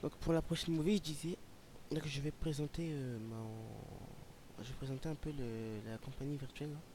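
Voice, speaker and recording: Somewhat breathy and dark, mellow in tone, a man's fairly high voice moves at a fairly slow pace with ordinary pitch variation. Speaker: flight simulator youtuber. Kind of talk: commented flight simulator gameplay. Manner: hesitant, many fillers.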